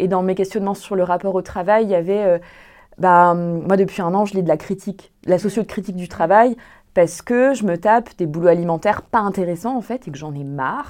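A woman speaks at a medium pitch and a fairly quick pace, with ordinary pitch variation. The background is quiet. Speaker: podcast host. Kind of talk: casual group discussion. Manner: animated.

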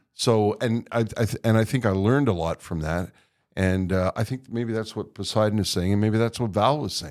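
In a Canadian accent, a man with an unremarkable speaking voice talks at a moderate pace and fairly low pitch, with ordinary pitch variation, on a very clean recording with a silent background. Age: 60s. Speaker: podcast host, retired radio broadcaster. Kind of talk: casual chat. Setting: studio.

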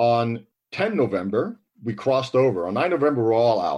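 A man with an American accent speaks at a moderate pace. He has an unremarkable speaking voice at medium pitch. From US, New York City. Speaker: army veteran. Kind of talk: interview, recounting memories.

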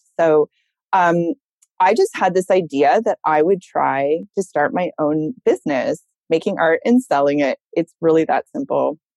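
At a fairly slow pace, a woman speaks in an ordinary speaking voice with a fairly low pitch and very even loudness, the sound dry and close with no echo. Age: 40s. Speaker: fiber artist and entrepreneur. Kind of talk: interview.

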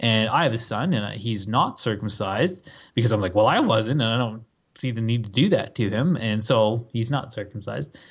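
Somewhat breathy speech at a moderate pace, with ordinary pitch variation. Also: man, medium pitch for a man. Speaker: podcast co-host. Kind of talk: casual chat.

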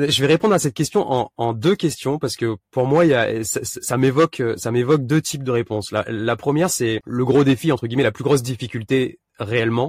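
Recorded very cleanly against a silent background, a man speaks at a moderate pace and medium pitch, with ordinary pitch variation and a dry, close sound with no echo. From Réunion. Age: 30s. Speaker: vanlifer and youtuber. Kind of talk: casual interview. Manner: halting, many repetitions and fillers.

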